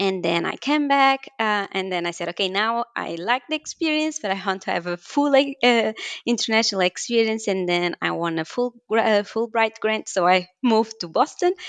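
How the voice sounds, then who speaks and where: In a dry, close sound with no echo, a woman with a Portuguese accent and a fairly high voice talks at a moderate pace with lively intonation and hardly any pauses. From Portugal, Porto. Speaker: scientist. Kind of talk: interview.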